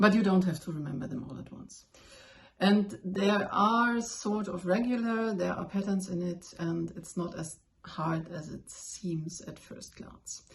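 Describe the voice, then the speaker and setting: A woman with a German accent speaks at a fairly slow pace and a medium pitch. Her pitch varies in an ordinary way, while her loudness swings widely. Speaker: language learner, video blogger. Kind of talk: tutorial. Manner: casual, with fillers and self-corrections.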